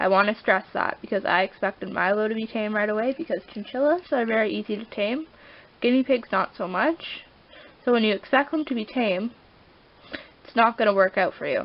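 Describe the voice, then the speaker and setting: Against noticeable background noise, a woman speaks with a fairly high pitch and ordinary pitch variation. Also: fairly quick pace. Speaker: pet vlogger. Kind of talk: tutorial. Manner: casual, rambling with self-corrections.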